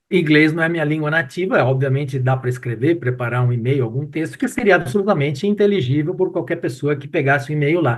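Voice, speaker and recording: A man speaks at a very fast pace with hardly any pauses, in a fairly high pitch with ordinary pitch variation. His voice is somewhat breathy. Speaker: professor and retail expert. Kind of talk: casual chat.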